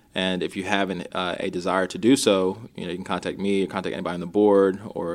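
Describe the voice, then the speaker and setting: A man speaks at a very deep, low pitch with monotone, flat intonation. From Maryland, US (Rockville). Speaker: realtor. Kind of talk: interview.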